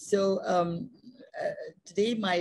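A somewhat breathy woman speaks with ordinary pitch variation in a dry sound with no echo. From Pakistan. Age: 80s+. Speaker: architect. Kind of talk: seminar talk and Q&A answers over video call. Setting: video call. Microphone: video call.

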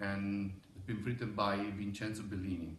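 Light background noise and audible room echo accompany a man with an Italian accent. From Italy. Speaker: opera conductor. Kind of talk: promotional message; promotional message to camera. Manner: halting with fillers. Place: hall. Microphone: camera far.

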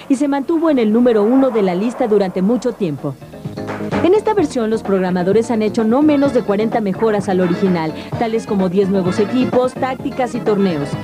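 Music plays in the background as a woman speaks at a fairly quick pace. Her pitch is fairly high and her intonation lively. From Latin America. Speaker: voice-over dubbing actress. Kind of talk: TV show voice-over narration about video games.

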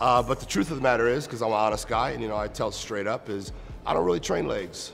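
Clear music plays behind a man speaking at a fairly low pitch with ordinary pitch variation. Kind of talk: interview answer. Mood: relaxed, candid. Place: gym.

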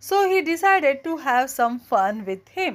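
A high-pitched woman with a gentle tone and very wide pitch swings, at a very slow pace. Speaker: storyteller reading stories aloud. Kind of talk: fairy-tale story narration, children's audiobook reading. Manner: gentle, expressive storytelling pace.

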